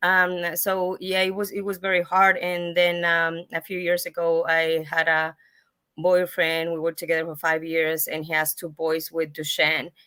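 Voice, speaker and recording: With a Spanish accent, a woman speaks at a moderate pace in a fairly low, flat, monotone voice with a bright, sharp tone, on a very clean recording with a silent background. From Mexico. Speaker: patient advocate, foundation founder. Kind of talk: panel discussion. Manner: halting.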